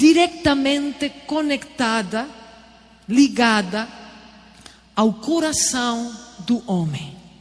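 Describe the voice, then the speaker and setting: A woman with a high pitch speaks at a very slow pace with very wide pitch swings. Noticeable background noise can be heard. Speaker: preacher. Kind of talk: sermon.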